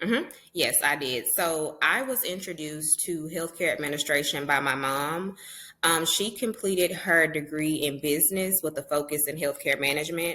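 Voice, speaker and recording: With a Southern US accent, a woman speaks at a moderate pace in a very deep, low pitch, with ordinary pitch variation and a bright, sharp tone. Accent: Southern US, country. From Southern United States. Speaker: public health entrepreneur and author. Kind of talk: podcast interview answer.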